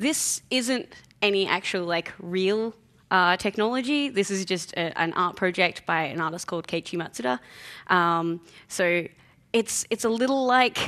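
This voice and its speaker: A woman speaks at a fairly slow pace in a bright, sharp tone, with ordinary pitch variation. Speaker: conference speaker. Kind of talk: conference talk. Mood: light, joking. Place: hall.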